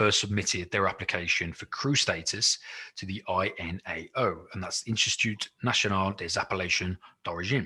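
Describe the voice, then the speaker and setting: A man's bright, sharp tone, fairly low in pitch, with ordinary pitch variation and a moderate pace. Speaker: wine merchant presenter. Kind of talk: virtual wine tasting presentation. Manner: hesitant, many fillers.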